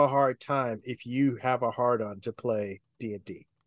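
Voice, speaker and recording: Over a quiet background, a man with an American accent speaks at a very slow pace with ordinary pitch variation, in a dry, close sound with no echo. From US West Coast, Oakland, California. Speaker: game designer and podcaster. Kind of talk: casual chat. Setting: live stream. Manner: halting, many fillers.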